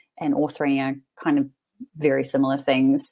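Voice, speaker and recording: Lively intonation in a New Zealand accent. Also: woman. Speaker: freelance writer and author coach. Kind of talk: webinar interview. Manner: hesitant, many fillers.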